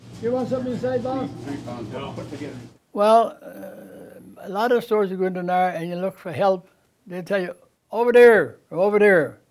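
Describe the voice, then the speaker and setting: A high-pitched man with a Newfoundland accent speaks at a moderate pace, with ordinary pitch variation. His loudness swings widely, and his pauses are long and frequent. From Newfoundland, Canada (Bell Island). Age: 80s+. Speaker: store owner. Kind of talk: interview.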